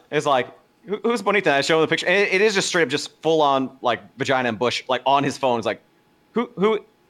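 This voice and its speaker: A man's very fast speech with very wide pitch swings. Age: 30s. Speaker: former recruiter. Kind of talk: casual chat.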